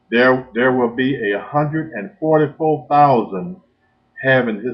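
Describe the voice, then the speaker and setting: A man is speaking. His pace is very slow. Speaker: minister. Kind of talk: sermon.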